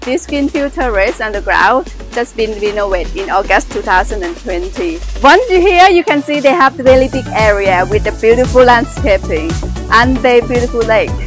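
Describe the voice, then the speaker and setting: Clear music plays in the background while a woman speaks in a dry sound with no echo. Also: moderate pace. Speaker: venue tour host. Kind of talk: casual vlog chat. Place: garden. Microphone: phone near.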